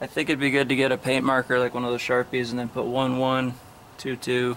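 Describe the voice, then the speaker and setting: A man's monotone, flat intonation over light background noise. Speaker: camper reviewing a stove. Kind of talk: tutorial. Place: garden. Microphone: phone near.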